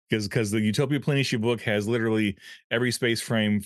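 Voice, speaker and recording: The speech moves at a fairly quick pace in an ordinary speaking voice. The sound is dry and close, with no echo. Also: man. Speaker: podcast co-host and game line editor. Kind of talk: casual chat.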